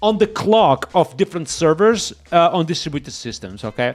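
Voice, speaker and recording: This man has a high-pitched voice, an animated tone and lively intonation, with a slight Portuguese accent. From Portugal. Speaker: software developer streamer. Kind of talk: live coding stream.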